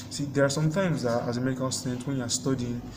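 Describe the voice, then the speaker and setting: Fairly even intonation from a man at a medium pitch, amid noticeable background noise and audible room echo. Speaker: medical student vlogger. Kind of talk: casual vlog monologue.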